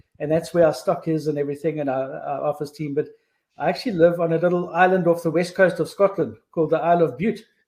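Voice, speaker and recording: The man's voice is high in pitch, with fairly even intonation. He speaks at a very fast pace. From South Africa, Cape Town (Simonstown). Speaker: implant company managing director. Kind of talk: casual chat.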